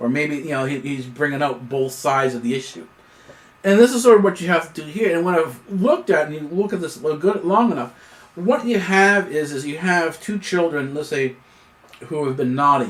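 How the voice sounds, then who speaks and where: A man with a fairly high pitch uses lively intonation while noticeable background noise sits behind him. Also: fairly quick pace. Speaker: news commentator. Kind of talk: solo news analysis monologue. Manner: stuttering; halting, many fillers.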